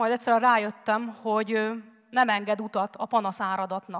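A woman at fairly high pitch and a fairly slow pace, monotone and flat in intonation, against a quiet background. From Hungary. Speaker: former volunteer, teacher; conference speaker. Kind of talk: TED-style talk. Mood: earnest storytelling. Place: stage. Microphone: headset.

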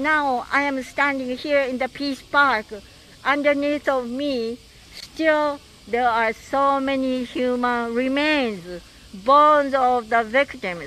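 A woman with a Japanese accent speaks at a very slow pace and a high pitch, with ordinary pitch variation. Light background noise can be heard. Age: 80s+. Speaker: atomic bomb survivor and peace activist. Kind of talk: recorded video message. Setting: outdoors. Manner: halting. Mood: earnest, hopeful. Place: street. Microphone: handheld.

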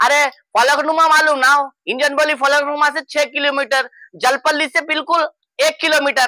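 A man speaks at a moderate pace with an extremely high pitch and a bright, sharp tone, the sound dry and close with no echo.

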